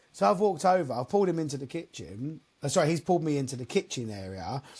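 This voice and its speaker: In an English accent, a man with a fairly high pitch talks very fast with lively intonation against a quiet background. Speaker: mobile DJ. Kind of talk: casual chat. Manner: loud.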